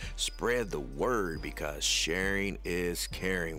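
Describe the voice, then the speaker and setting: A man's energetic, animated tone. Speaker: radio show host. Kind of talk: radio DJ patter, hype-filled show intro and interview. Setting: radio studio. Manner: energetic, animated, hype-man.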